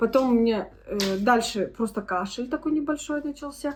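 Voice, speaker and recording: A woman with a high pitch talks at a moderate speed, her pitch varying in an ordinary way. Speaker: vlogger. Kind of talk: casual vlog talk.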